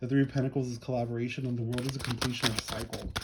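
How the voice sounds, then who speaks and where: Noticeable background noise sits under a man speaking at a very fast clip. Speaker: tarot reader. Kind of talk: tarot reading for a client. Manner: animated.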